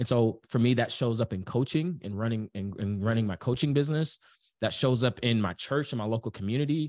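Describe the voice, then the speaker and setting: A man with an American accent talks in a normal speaking voice at a medium pitch and a fairly quick pace, with ordinary pitch variation, a dry, close sound with no echo, and a quiet background. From US inner city. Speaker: business coach. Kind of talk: casual chat.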